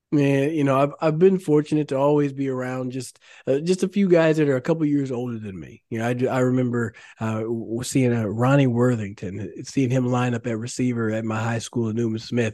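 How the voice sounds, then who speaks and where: A man with a Texan accent speaks at medium pitch with a dark, mellow tone and ordinary pitch variation. His pace is fairly quick against a quiet background. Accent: Texan American. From Texas, Dallas area (Carrollton). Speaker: former pro football player, now realtor. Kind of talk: interview. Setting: studio.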